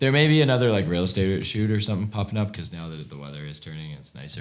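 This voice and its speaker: Over noticeable background noise, a man talks at a very fast pace in a very deep, low pitch, his pitch swinging very widely. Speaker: CEO of a media agency vlogging his day. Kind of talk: casual work meeting.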